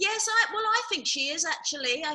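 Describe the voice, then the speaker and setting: A woman with an English accent uses a raised, projected voice with a bright, sharp tone and very wide pitch swings. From England. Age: 50s. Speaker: charity director. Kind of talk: casual interview. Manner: hesitant with many ums.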